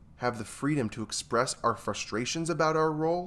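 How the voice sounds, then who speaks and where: Over a silent background in a very clean recording, a man with an American accent speaks at a moderate pace with lively intonation in an unremarkable speaking voice. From New York. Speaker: therapist. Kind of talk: casual chat.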